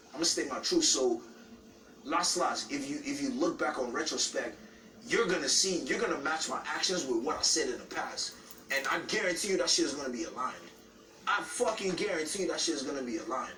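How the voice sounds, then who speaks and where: Loud, passionate man's voice, high-pitched, with very wide pitch swings and a fairly quick pace, plus audible room echo and noticeable background noise. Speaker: reality show contestant. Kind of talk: heated argument. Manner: halting, repetitive.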